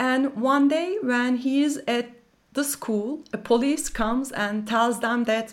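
This is a woman speaking. She has a plain, everyday voice. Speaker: documentary filmmaker and professor. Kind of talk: interview.

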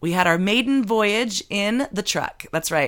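Over a silent background in a very clean recording, a woman speaks in a plain, everyday voice with lively intonation at a moderate pace. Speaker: radio host. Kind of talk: casual chat. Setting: studio.

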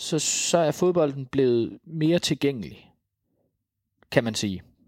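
Very slow speech from a man with a fairly high pitch and lively intonation, on a very clean recording with a silent background. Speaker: author and cultural journalist. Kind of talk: interview. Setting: recorded at guest's home. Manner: halting, many fillers and repetitions.

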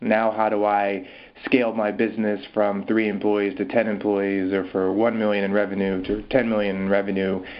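Amid noticeable background noise, a man speaks at a moderate pace in a fairly low, monotone voice with flat intonation. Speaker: startup accelerator CEO. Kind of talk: interview answers. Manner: hesitant, filler-heavy.

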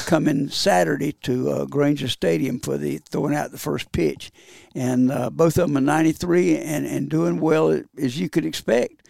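A man speaks at a fairly slow pace with a Southern US accent. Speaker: retired baseball coach, hall of famer. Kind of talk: casual chat. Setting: studio.

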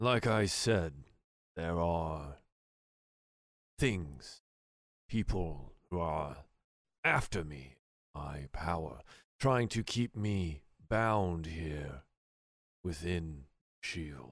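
A man's put-on character voice, very deep and low, at a very slow pace with long, frequent pauses. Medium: actual play. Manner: evasive, smooth, secretive.

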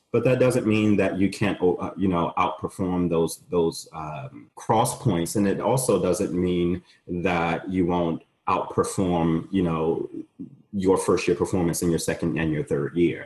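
This man has a very deep, low pitch. He speaks at a fairly slow pace. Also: ordinary pitch variation. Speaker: law school admissions dean. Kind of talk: webinar Q&A, conversational. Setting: online webinar.

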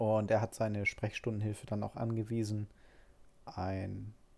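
A man's fairly low voice at a moderate pace. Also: long, frequent pauses. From Hamburg, northern Germany. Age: 30s. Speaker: podcaster with diabetes. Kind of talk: personal storytelling monologue. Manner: hesitant, many filler sounds.

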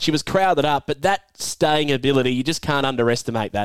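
A man with an Australian accent talks at a fairly quick pace. The sound is dry and close, with no echo. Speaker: podcast host. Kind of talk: podcast discussion and race preview. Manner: animated, enthusiastic.

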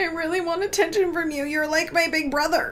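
A whiny, put-on character voice at an extremely high pitch, fairly quick in pace, over clear background noise. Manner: mocking, whiny.

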